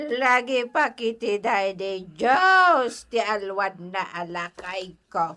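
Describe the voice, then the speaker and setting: Using a put-on character voice, a woman speaks at a medium pitch and a very slow pace with hardly any pauses. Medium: audio drama. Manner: laughing, chatty.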